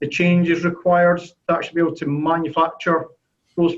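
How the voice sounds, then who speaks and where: A man's high-pitched voice in a Scottish accent at a moderate pace. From Scotland. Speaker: sheet metal software consultant. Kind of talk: business video call presentation. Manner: halting, many fillers and repetitions.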